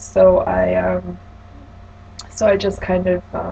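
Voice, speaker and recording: A woman talks over noticeable background noise. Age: 20s. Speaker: client in a practice counselling session. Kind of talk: role-played counselling session.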